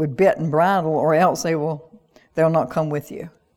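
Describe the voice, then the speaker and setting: With a Southern US accent, a woman speaks at a fairly low pitch and with fairly even intonation. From US South, North Carolina (rural). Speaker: pastor. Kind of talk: sermon. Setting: church with online audience.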